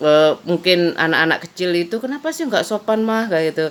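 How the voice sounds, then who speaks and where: A woman with a Madurese accent, fairly low in pitch, at a fairly quick pace with ordinary pitch variation, over noticeable background noise. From East Java, Madura-speaking village near Probolinggo. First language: Madurese (speaking Indonesian). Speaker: vlogger. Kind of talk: casual vlog monologue. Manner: rambling, conversational.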